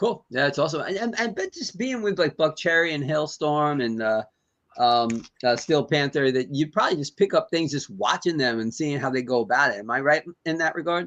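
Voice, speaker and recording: A plain, everyday voice from a man, fairly high in pitch, at a fairly quick pace. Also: lively intonation. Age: 60s. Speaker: podcast host. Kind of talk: interview.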